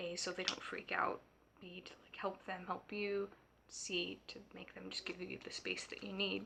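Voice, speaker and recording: A woman is whispering, with big swings in loudness. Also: moderate pace. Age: adult. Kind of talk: personal vlog monologue. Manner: halting, many fillers.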